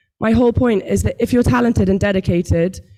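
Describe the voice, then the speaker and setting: With a British accent, a woman talks at a fairly quick pace in a medium pitch. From United Kingdom. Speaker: tech company founder, panelist. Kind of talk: panel talk. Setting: stage with audience.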